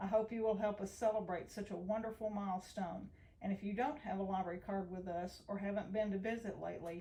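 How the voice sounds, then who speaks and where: Delivered at a moderate pace, the speech has a Tennessee accent and fairly even intonation. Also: woman. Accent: Southern US (Tennessee). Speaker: library director. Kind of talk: prepared personal testimony.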